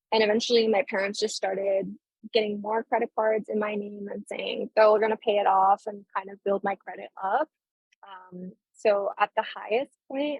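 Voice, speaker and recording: Here is a woman with an unremarkable speaking voice and a fairly high pitch, at a moderate pace. Her intonation stays fairly even while her loudness swings widely. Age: 20s. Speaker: law student and legal assistant. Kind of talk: casual interview about personal finances.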